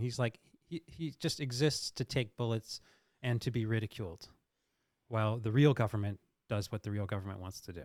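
A man with a normal speaking voice talks at a fairly quick pace with ordinary pitch variation. The recording is very clean with a silent background, and the sound is dry and close with no echo. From US, Delaware. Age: 50s. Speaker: news editor. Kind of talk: casual chat.

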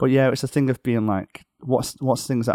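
A man with a Liverpool accent talks at a fairly quick pace in a dark, mellow tone. The sound is dry and close with no echo, and his pitch varies in an ordinary way. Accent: Liverpool (Scouse) English. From northwest England (near Liverpool). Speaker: rock guitarist. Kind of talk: casual interview chat. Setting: remote call from a hotel room.

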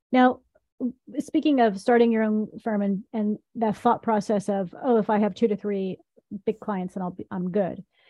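With an American accent and a normal speaking voice, a woman talks at a moderate pace in a fairly high pitch with ordinary pitch variation. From US South, Tennessee. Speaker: podcast host, company co-founder. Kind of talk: scripted intro; interview.

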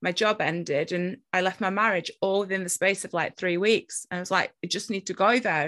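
A woman with a British accent speaks at a moderate pace and medium pitch, her tone bright and sharp and her intonation fairly even, against a quiet background. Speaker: podcast host and spiritual teacher. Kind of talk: interview. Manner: talkative.

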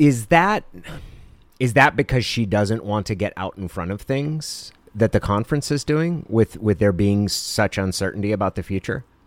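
A man with an American accent speaks in a normal speaking voice at a moderate pace, his fairly low pitch carried by lively intonation in a dry, close sound with no echo. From southern Oregon (Klamath Falls). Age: 40s. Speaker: podcast co-host. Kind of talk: casual chat.

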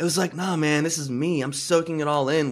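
A man speaks at a fairly quick pace in a normal speaking voice, his intonation fairly even. The recording is very clean, with a silent background. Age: 40s. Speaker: podcast host and life coach. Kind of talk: casual interview chat.

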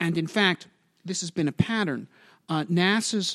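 A man with an unremarkable speaking voice talks at a moderate pace with ordinary pitch variation. The recording is very clean, with a silent background and a dry, close sound with no echo. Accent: American. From New York (Brooklyn, Long Island). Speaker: aerospace engineer and author. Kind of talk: interview. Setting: office.

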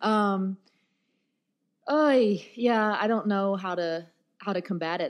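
A woman with a plain, everyday voice and an American accent speaks at a medium pitch with ordinary pitch variation against a quiet background. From US South, Nashville. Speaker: rap cabaret artist. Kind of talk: casual interview. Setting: hotel interview room.

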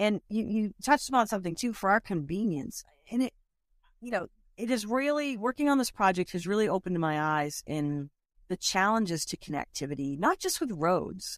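Recorded very cleanly against a silent background, with a dry, close sound and no echo, a woman with an American accent talks at a fairly quick pace with very wide pitch swings. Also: medium pitch for a woman. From Boston. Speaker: conservationist. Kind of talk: interview.

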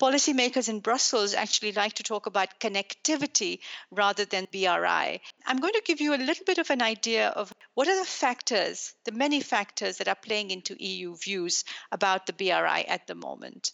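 A woman's fairly high-pitched voice with vocal fry. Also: lively intonation, moderate pace. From Pakistan. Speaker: think tank director and professor. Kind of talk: interview.

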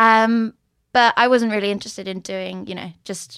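In a dry, close recording with no echo and a silent, very clean background, a woman speaks with a Swedish accent. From Sweden, Stockholm. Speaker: drag show organizer and performer. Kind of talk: casual interview.

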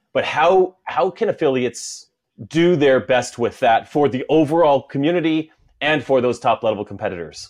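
A man with an unremarkable speaking voice talks at a moderate pace, his fairly high pitch rising and falling in a lively way. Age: 40s. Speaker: podcast host and masters CrossFit athlete. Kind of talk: casual interview chat. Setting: video call.

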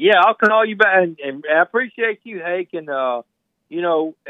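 Lively intonation marks this man's high voice. He speaks at a moderate pace with an American accent. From Mississippi. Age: 40s. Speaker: caller. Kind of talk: call-in chat.

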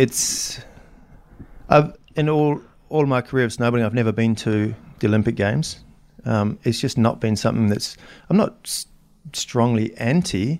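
On a very clean recording with a silent background, a man with a New Zealand accent talks at a medium pitch and moderate pace, with ordinary pitch variation and long, frequent pauses. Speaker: snowboarding photographer. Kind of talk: casual interview chat. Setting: in person at a Swiss ski resort. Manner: halting, with frequent repetitions.

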